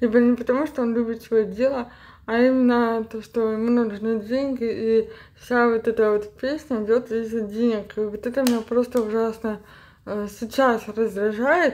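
A woman talks at a moderate pace with fairly high pitch and an unremarkable speaking voice. Her intonation stays fairly even. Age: 30s. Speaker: cleaning vlogger. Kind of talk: casual voiceover for cleaning vlog.

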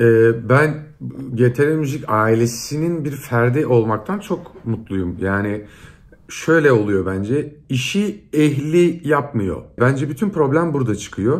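A man speaks at a very slow pace with lively intonation. His pitch sits in the medium range. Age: 30s. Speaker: singer and actor; actor. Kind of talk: casual interview. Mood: relaxed, reflective. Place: home room.

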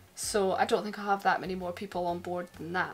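Faint background music can be heard. Over it, a woman speaks. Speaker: boat owner vlogger. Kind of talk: casual vlog chat. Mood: upbeat, excited. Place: boat. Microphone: phone near.

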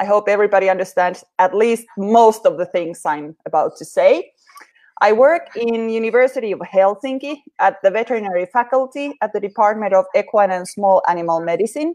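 Over a quiet background, a woman with a Finnish accent speaks at a fairly quick pace, her pitch fairly high and her intonation lively. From Finland. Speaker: veterinary physiotherapist and researcher. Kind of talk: live interview. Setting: live online broadcast. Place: home room. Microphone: video call.

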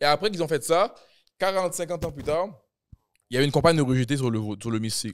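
A man with a fairly high pitch talks at a very fast pace, his intonation lively. His speech breaks into long, frequent pauses. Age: 20s. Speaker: rapper; podcast host or guest. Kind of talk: casual chat. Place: studio. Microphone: studio mic.

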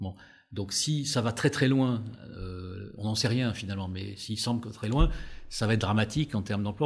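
A somewhat breathy man at a medium pitch, with ordinary pitch variation and a fairly slow pace. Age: 60s. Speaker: business school professor and former HR director. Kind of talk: interview. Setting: on a campus in Paris La Défense.

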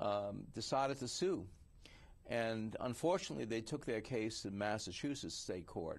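This is a man with a plain, everyday voice. His pitch is medium and his pace moderate. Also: lively intonation. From New York City (Queens). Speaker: writers union president and investigative journalist. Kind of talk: interview conversation.

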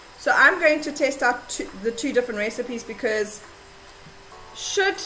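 A woman speaks in a raised, projected voice with lively intonation while music plays in the background. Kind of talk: tutorial. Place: home room.

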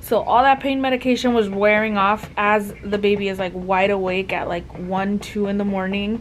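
A woman's voice, with ordinary pitch variation, moves at a moderate pace as light background noise runs underneath. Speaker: new mother vlogger. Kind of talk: casual vlog chat. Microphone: phone near.

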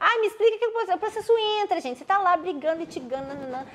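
A woman's fairly quick, animated speech with lively intonation. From Minas Gerais, Juiz de Fora; Minas Gerais, Brazil. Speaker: court civil servant who passed a public exam; interview guest. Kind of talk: interview testimony. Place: home room.

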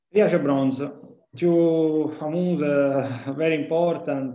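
Audible room echo around a fairly high-pitched male voice, its pitch variation ordinary. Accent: Italian. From Italy. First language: Italian (speaking Portuguese). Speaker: professor of physics. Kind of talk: lecture. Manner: halting. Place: home room. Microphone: webcam.

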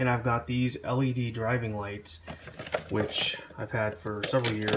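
Through noticeable background noise, a man talks at a moderate pace with fairly even intonation. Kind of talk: DIY tutorial narration. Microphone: phone near.

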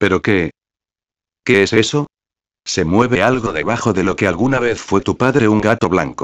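A man's fairly low voice with ordinary pitch variation, very even loudness, a moderate pace and long, frequent pauses, dry and close with no echo against a quiet background. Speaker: creepypasta narrator. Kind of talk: ghost story narration. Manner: second-person storytelling, dramatic.

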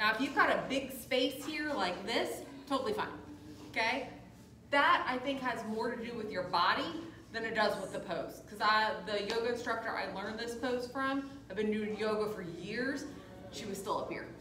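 A woman with ordinary pitch variation, amid audible room echo and light background noise. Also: moderate pace. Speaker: yoga instructor. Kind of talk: instruction. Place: gym. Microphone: camera far.

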